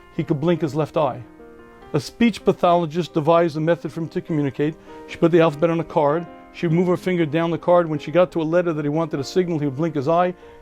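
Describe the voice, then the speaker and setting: A man at a fairly high pitch and a very fast pace, with music in the background. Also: fairly even intonation. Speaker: rabbi. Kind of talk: rabbi answering a viewer question, explanatory talk.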